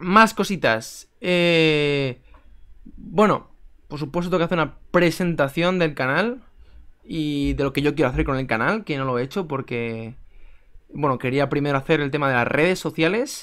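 Against a quiet background, a man with a plain, everyday voice speaks at a fairly slow pace, his pitch fairly high with ordinary variation. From Spain. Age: 20s. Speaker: chess YouTuber. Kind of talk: casual vlog to camera. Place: home room. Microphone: webcam.

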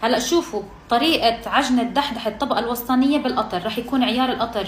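A woman with a high voice speaks in an animated tone at a fairly quick pace. Light background noise and audible room echo are present. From Palestine, Nablus; Palestine. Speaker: cooking video creator. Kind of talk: cooking tutorial. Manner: chatty, animated. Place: kitchen. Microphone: phone near.

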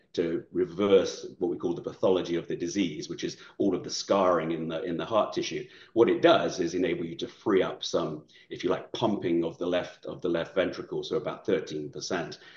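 A man at a moderate pace, with audible room echo and a quiet background. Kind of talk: interview answer. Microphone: video call.

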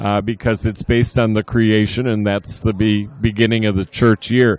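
A man with a fairly low voice talks against a quiet background. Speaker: needlepoint hobbyist. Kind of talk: exhibit presentation. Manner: halting.

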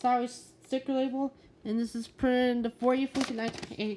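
A fairly quick pace, a slightly mellow tone and little pitch movement.

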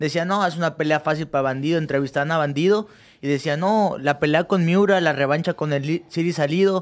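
Over a quiet background, a man with a Mexican accent talks fairly quickly at a fairly high pitch, with very even loudness and fairly even intonation. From Mexico (Cancún); Mexico. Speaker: professional boxer; guest. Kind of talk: casual interview. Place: studio. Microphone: studio mic.

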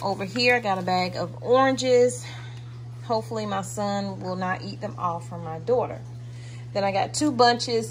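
Speaking at a moderate pace, a woman has a medium pitch and ordinary pitch variation.

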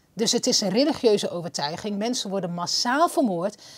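At a medium pitch and moderate pace, a woman talks with very wide pitch swings against a quiet background. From Netherlands. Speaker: podcast host. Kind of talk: interview. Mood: earnest, critical. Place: studio. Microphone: lapel.

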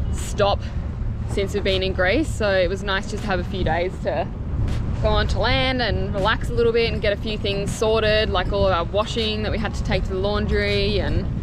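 A woman at a moderate pace, dry sound with no echo, noticeable background noise behind her. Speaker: sailing vlogger. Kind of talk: casual vlog chat. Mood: relaxed, content. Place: boat. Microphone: phone near.

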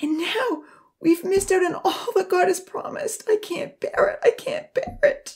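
A woman's put-on character voice, extremely high in pitch with big swings, slightly mellow in tone and fairly slow

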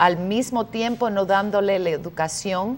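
This woman has ordinary pitch variation. She talks at a fairly slow pace. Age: 50s. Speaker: activist; talk show guest. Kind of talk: debate. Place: studio. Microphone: lapel.

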